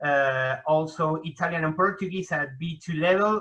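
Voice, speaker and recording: A bright, sharp tone with a Spanish accent. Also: man. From Argentina, Buenos Aires. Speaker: hyperpolyglot, association director. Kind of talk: interview.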